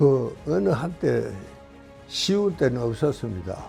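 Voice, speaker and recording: A man speaks with music in the background. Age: 80s+. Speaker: doctor. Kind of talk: interview answer.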